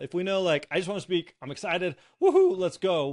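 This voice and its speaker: A man speaks in a high voice at a fairly quick pace. The recording is very clean, with a silent background. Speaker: podcast host. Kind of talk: interview. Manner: fast.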